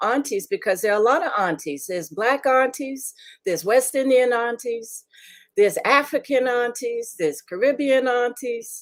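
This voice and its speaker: On a very clean recording with a silent background, a woman speaks at a high pitch and a moderate pace. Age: 70s. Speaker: filmmaker and film festival founder. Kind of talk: interview. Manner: halting, many fillers.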